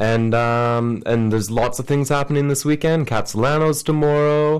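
A man's normal speaking voice at a moderate pace, with ordinary pitch variation and a quiet background. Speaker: radio host. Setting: radio studio. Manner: relaxed, chatty, laid-back and jokey, with filler words.

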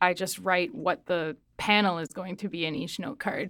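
In an ordinary speaking voice, a woman talks at a fairly slow pace, at medium pitch with fairly even intonation, in a very clean recording with a silent background. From Nova Scotia, Canada (rural), partly southern Mexico. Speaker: poet and creative writing student. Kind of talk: casual interview. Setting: radio studio.

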